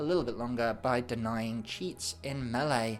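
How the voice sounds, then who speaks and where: The speaker goes at a moderate pace with music in the background. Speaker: tabletop game guide presenter. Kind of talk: tutorial. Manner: casual with filler words.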